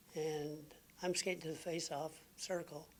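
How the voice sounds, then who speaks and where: A man with a Canadian Maritime accent speaks in a fairly high pitch with monotone, flat intonation. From Maritime Canada. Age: 60s. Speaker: retired professional hockey player. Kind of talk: interview answer.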